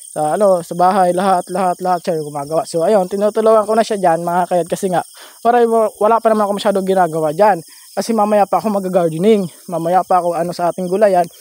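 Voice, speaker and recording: Here a man speaks at a high pitch and a very fast pace. His fairly even intonation comes through a dry, close sound with no echo. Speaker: vlogger. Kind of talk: casual vlog voice-over. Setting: outdoors, walking. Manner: halting.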